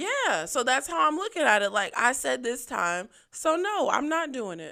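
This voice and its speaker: The voice is raised and projected, with a bright, sharp tone and very wide pitch swings. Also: woman. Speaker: podcast co-host. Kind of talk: casual chat. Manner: loud.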